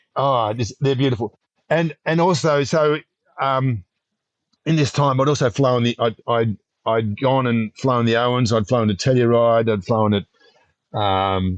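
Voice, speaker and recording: A man at medium pitch and a fairly slow pace, with ordinary pitch variation, very even loudness, long, frequent pauses and a dry, close sound with no echo. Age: 60s. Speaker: paragliding instructor. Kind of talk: interview answer. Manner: storyteller.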